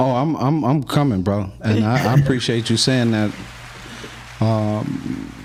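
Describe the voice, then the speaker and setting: A man at medium pitch and a fairly slow pace, fairly even intonation, with audible room echo and noticeable background noise. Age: 50s. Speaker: podcast host. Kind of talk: casual chat.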